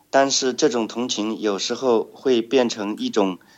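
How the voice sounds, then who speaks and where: A man speaks very slowly with a Chinese accent, his pitch medium and its variation ordinary. The background is quiet. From China, Shanghai. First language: Chinese (speaking Russian). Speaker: blind social enterprise trainer. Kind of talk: interview.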